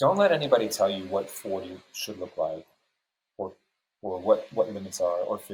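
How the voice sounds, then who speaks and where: Big swings in loudness from a man talking at a moderate pace. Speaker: podcast co-host. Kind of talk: casual chat. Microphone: poorly set up microphone.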